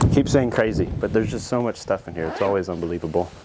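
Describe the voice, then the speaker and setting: There is noticeable background noise while the man talks. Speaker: urban explorer vlogger. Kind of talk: walkthrough vlog narration. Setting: outdoors and inside abandoned farm buildings. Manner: casual, somewhat fast.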